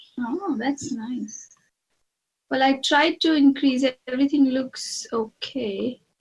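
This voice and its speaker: A woman speaks softly at a high pitch. Her pace is very slow. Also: ordinary pitch variation. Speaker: psychic medium channeling a spirit. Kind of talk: channeling session conversation. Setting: video call. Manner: soft-spoken; halting, hesitant. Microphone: too quiet, not triggering on screen.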